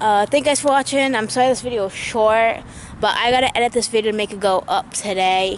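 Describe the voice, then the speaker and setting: Over light background noise, a woman speaks at a very fast pace with ordinary pitch variation in a dry sound with no echo. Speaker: vlogger. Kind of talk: casual vlog chat. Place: open country. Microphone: phone near.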